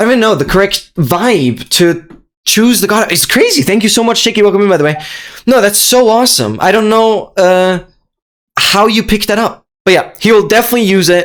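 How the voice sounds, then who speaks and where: A man with a high pitch speaks fairly quickly in an animated tone, with ordinary pitch variation and very even loudness. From Austria. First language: German. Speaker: streamer. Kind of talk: live stream chat.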